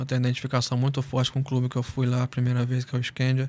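The speaker is a man. His pitch is medium. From Espírito Santo, Brazil (Celina); Espírito Santo, Brazil. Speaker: professional footballer; guest. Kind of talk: casual interview chat. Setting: studio. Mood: calm, grateful. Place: studio. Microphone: studio mic.

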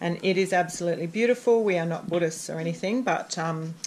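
Fast speech with a slightly mellow tone and ordinary pitch variation comes over faint background noise. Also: woman, fairly low pitch for a woman.

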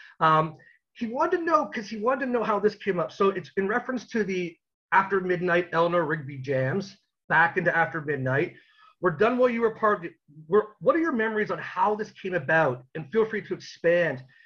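A high-pitched man's voice with a Canadian accent, lively intonation and a fairly quick pace. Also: quiet background. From Canada. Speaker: interviewer. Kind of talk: casual chat. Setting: video call. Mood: appreciative, enthusiastic. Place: home room. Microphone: video call.

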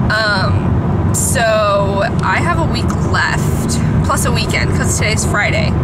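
Loud background noise surrounds a woman speaking. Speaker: vlogger. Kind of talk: casual vlog chat. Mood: relaxed, chatty, some laughs. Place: car. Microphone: phone near.

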